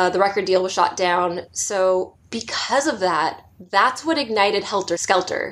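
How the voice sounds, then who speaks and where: With a Californian accent, a woman talks at a medium pitch and a fairly slow pace, her tone animated and her pitch variation ordinary. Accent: Californian American English. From Southern California. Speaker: podcast co-host. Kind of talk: casual chat. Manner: animated, laughs often.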